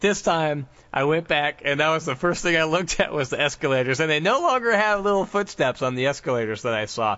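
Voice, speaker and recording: A man's fairly high voice at a very fast pace, with very wide pitch swings. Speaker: podcast host. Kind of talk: casual podcast chat.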